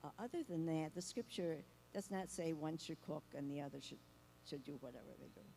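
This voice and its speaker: A woman with a very deep, low pitch and a dark, mellow tone talks at a fairly quick pace, her loudness swinging widely while her pitch varies in an ordinary way. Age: 80s+. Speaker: counselor. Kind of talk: panel discussion.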